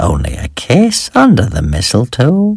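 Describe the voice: A man's put-on character voice, soft-spoken and fairly slow, with vocal fry, a slightly husky edge, very wide pitch swings and some hissing. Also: medium pitch for a man.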